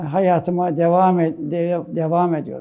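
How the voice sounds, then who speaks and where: A man with a high pitch and a dark, mellow tone speaks at a moderate pace with fairly even intonation. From Istanbul, Turkey (Fatih district). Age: 90s. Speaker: sports club president and oral history interviewee. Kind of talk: oral history interview. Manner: halting, with hesitations and self-corrections.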